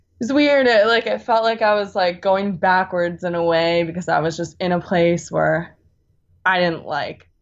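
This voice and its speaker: A normal speaking voice in an American accent, lively intonation at a moderate pace. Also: woman, fairly low pitch for a woman. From US West Coast, California Bay Area. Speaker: music enthusiast, former college radio host. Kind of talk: casual chat. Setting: video call.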